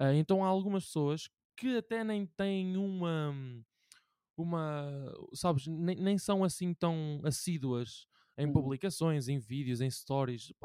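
In a very clean recording with a silent background, a man with a fairly high pitch and a dark, mellow tone talks at a fairly slow pace with ordinary pitch variation. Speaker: podcast host. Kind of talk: casual chat.

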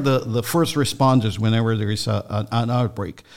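A man with a Spanish accent speaks at a moderate pace with ordinary pitch variation. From Mexico. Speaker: food safety center director. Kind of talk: radio interview. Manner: halting, many fillers.

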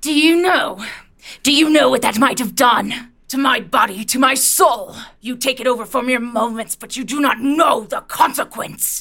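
Using a put-on character voice, a woman speaks at a high pitch with a menacing tone. Her pace is moderate and her pitch variation ordinary. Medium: audio drama. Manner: menacing, contemptuous, taunting; repetitive, accusing.

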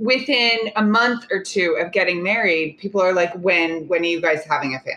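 A woman with an American accent speaks in an ordinary speaking voice at medium pitch. She keeps a moderate pace with ordinary pitch variation and hardly any pauses. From Oklahoma. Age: 30s. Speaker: dating coach. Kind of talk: casual chat.

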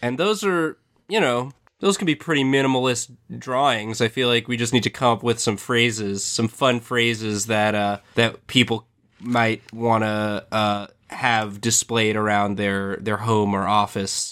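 Over a very clean recording and silent background, a man with a normal speaking voice talks at a fairly slow pace and medium pitch with ordinary pitch variation. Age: 20s. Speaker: podcast co-host. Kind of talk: casual comedic chat.

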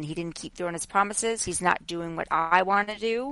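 A woman with an ordinary speaking voice, medium-pitched, at a moderate pace. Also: quiet background. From Long Island, New York. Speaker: journalist and media commentator. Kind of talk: casual interview.

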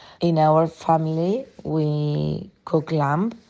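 A woman speaks with a Spanish accent in a very deep, low pitch. Her tone is dark and mellow, her intonation fairly even. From Uruguay, near Montevideo. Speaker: sommelier, wine bar owner. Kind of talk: prepared monologue.

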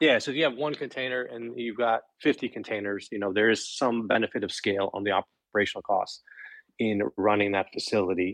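At a fairly quick pace, a man with an ordinary speaking voice talks at medium pitch with ordinary pitch variation, in a dry, close sound with no echo. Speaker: bitcoin mining company executive. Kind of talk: interview. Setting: live online audio room.

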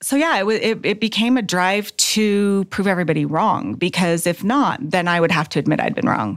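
A woman with an American accent talks in a normal speaking voice at a medium pitch. Her intonation is lively, her loudness very even, and she leaves hardly any pauses. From Texas. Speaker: nurse. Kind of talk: interview testimony.

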